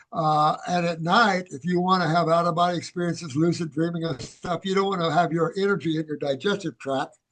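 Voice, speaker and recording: This man talks at a fairly quick pace with an American accent. His pitch is high and his intonation fairly even. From USA. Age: 70s. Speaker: naturopathic doctor. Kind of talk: interview. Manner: halting.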